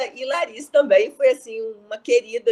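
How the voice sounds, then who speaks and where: The pace is moderate as a woman talks. Her pitch shows ordinary variation. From Rio de Janeiro, Brazil. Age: 60s. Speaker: speaker on entrepreneurship.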